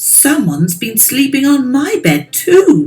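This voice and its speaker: Putting on a growling character voice, a woman speaks at a high pitch and a fairly slow pace. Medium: read story.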